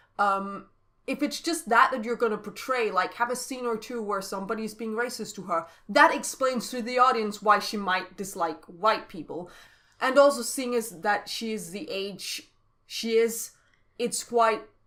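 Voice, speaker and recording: Bright and sharp in tone, a woman speaks at a moderate pace. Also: fairly high pitch for a woman, ordinary pitch variation, big swings in loudness. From Denmark. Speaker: podcast co-host discussing TV. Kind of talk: casual chat.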